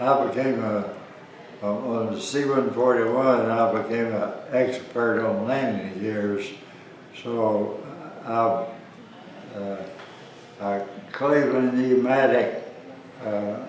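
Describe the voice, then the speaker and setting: A man talks at a very slow pace with long, frequent pauses and fairly even intonation. The recording carries audible room echo and noticeable background noise. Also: medium pitch for a man. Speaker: war veteran. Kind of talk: interview. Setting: seated interview in Georgia. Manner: halting.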